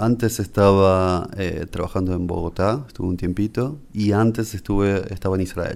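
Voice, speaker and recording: In a very clean recording with a silent background, a man speaks at a moderate pace with hardly any pauses. His pitch is fairly low with fairly even intonation, and it's a plain, everyday voice. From Uruguay, Montevideo. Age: 40s. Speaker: rabbi. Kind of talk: interview.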